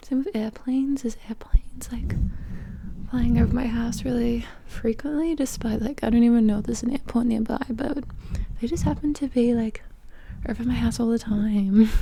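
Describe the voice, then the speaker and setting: A soft-spoken woman talks at a fairly high pitch with fairly even intonation. Her pace is fairly quick, and there is noticeable background noise. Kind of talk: casual talk to camera. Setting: indoors at home.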